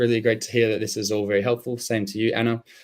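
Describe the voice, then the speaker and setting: With an Australian accent, a man speaks at a medium pitch and with fairly even intonation. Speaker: SEO expert hosting a webinar. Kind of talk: live webinar presentation.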